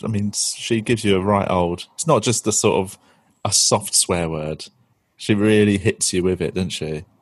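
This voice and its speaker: A man with a London accent speaks at a moderate pace in a fairly low voice. His pitch varies in an ordinary way, and the background is quiet. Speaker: comedian podcast host. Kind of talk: casual chat.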